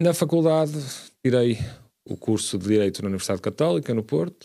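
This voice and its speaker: Speaking at a fairly quick pace, a man with a dark, mellow tone makes very wide pitch swings on a very clean recording with a silent background. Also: medium pitch for a man. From Portugal, Braga (Minho). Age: 30s. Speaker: city councillor, lawyer. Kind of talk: radio interview.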